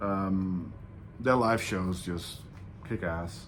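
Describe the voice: A man's low-pitched voice with fairly even intonation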